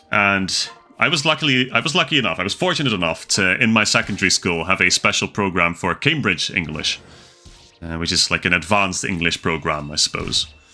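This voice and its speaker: A man's very deep, low voice with very wide pitch swings at a fairly quick pace, music in the background. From Netherlands. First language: Dutch. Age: 20s. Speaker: gaming streamer. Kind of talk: livestream gameplay chat. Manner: casual, chatty.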